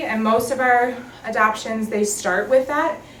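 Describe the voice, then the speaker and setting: The speaker has an American accent and ordinary pitch variation at a moderate pace. Noticeable background noise and audible room echo are present. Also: woman. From Minnesota. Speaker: adoption agency worker. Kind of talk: training presentation. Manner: casual, many fillers.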